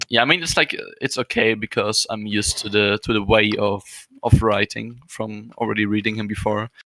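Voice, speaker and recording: In a German accent, a man speaks at fairly low pitch and a fairly quick pace, with a bright, sharp tone, fairly even intonation, and a dry, close sound with no echo. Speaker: podcast co-host. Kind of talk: casual chat. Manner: halting.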